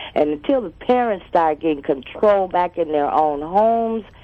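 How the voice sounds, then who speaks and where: A woman talks in a normal speaking voice at a moderate pace with lively intonation. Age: 60s. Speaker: caller. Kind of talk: call-in comment.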